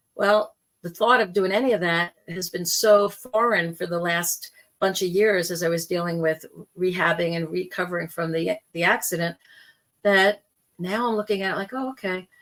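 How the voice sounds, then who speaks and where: A woman's plain, everyday voice at medium pitch, moderate pace and fairly even intonation. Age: 60s. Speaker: spiritual podcast host and life coach. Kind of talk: personal monologue podcast. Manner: conversational.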